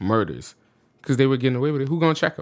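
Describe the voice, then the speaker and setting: A man speaks with an American accent on a very clean recording with a silent background. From US South, New Orleans. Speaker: musician and studio owner. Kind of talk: casual chat. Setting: studio.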